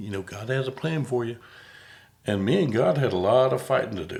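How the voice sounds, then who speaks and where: A man with a Southern US accent, ordinary pitch variation and a fairly quick pace. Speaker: podcast host and comedian. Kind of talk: casual chat.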